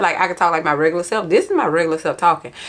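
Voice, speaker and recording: Amid noticeable background noise, a woman speaks in an animated tone. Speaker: planner vlogger. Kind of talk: casual vlog chat. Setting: home office. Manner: loud.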